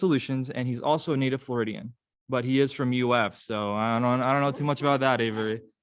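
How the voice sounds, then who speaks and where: A man's very fast, medium-pitched speech with ordinary pitch variation over a quiet background. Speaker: student club officer hosting a meeting. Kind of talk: club meeting introduction. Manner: halting, stuttering.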